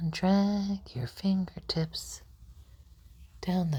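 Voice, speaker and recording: The speaker is soft-spoken and calm in tone, talking at a very slow pace. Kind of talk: ASMR relaxation guide, guided fingertip-trailing session. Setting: ASMR session for sleep and relaxation. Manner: soft-spoken, slow, calm.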